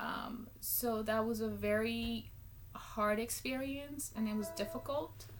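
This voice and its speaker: A woman with a Spanish accent speaks very slowly at a fairly high pitch with ordinary pitch variation, with noticeable background noise and audible room echo. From Guatemala. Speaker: public speaking student. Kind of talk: class speech. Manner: hesitant, many ums.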